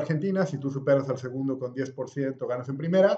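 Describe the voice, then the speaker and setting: This man talks at a fairly quick pace with ordinary pitch variation in a plain, everyday voice. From Bolivia, La Paz. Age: 40s. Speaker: politician. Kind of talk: interview.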